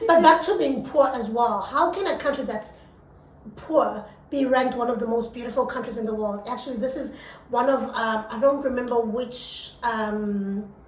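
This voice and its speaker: A woman's high-pitched, animated voice at a moderate pace, with ordinary pitch variation, audible room echo and noticeable background noise. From South Africa. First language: not English. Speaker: podcast co-host. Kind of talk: casual chat.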